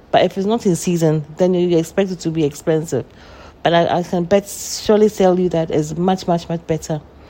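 Amid noticeable background noise, a woman with a fairly low pitch talks at a fairly quick pace with fairly even intonation. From Ghana. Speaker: nursery school owner. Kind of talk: interview.

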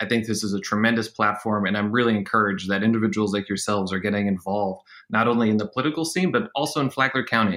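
A man with an American accent speaks very fast in a bright, sharp tone at a fairly low pitch, on a very clean recording with a silent background. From rural upstate New York. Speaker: city council member. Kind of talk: casual interview.

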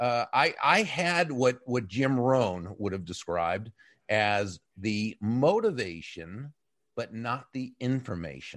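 In a quiet background, a man at medium pitch speaks at a very slow pace with lively intonation. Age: 60s. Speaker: author and business speaker, former broadcaster. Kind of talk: interview. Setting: live stream on an audio chat app.

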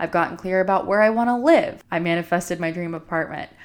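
A woman speaks at a very fast clip with an animated tone. Her pitch sits fairly low. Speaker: podcast host, yoga and wellness coach. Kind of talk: solo podcast monologue. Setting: studio microphone.

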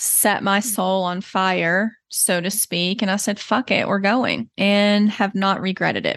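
Against a quiet background, a woman speaks at medium pitch and a fairly slow pace. Her intonation is monotone and flat. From Texas. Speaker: therapist and podcast host. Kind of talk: solo podcast introduction monologue. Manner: reflective, earnest.

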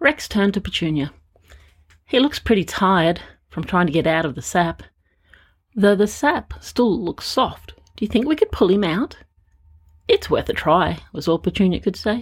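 A somewhat breathy woman's voice with very wide pitch swings and long, frequent pauses, in a very clean recording with a silent background. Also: medium pitch for a woman, moderate pace. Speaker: storyteller. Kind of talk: bedtime story telling; scripted narration with character voices. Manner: animated, playful.

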